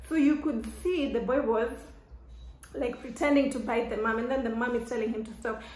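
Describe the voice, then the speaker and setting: A very fast woman's voice, high in pitch, with audible room echo and noticeable background noise. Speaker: vlogger. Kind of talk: casual chat. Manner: loud; animated.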